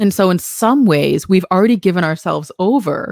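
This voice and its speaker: A woman with an American accent has an unremarkable speaking voice, medium in pitch, with lively intonation, in a very clean recording with a silent background. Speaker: podcast host and company CEO. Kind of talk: casual chat.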